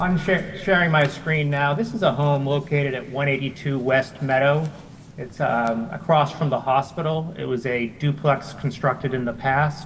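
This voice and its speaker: A man speaks in a normal speaking voice at a fairly high pitch. His pace is fairly slow, with ordinary pitch variation. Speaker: town planning staff presenter. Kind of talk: public meeting presentation. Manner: formal.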